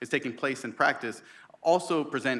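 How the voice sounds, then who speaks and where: A man's bright, sharp tone at a very fast pace, with fairly even intonation. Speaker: research program director. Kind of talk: conference presentation.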